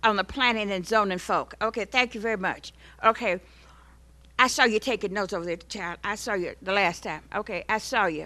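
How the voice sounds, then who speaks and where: With an American accent, a woman speaks at a moderate pace in a bright, sharp tone, her pitch fairly high with ordinary pitch variation. The background is quiet. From Missouri. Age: 70s. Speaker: resident speaking at public comment. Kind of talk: public comment at council meeting. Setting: city council chamber. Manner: animated.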